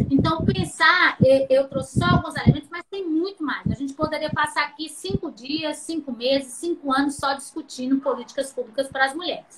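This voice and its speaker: A woman speaks with a high pitch and hardly any pauses. Noticeable background noise sits behind her. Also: ordinary pitch variation, moderate pace. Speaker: professor. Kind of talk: lecture. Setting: video call.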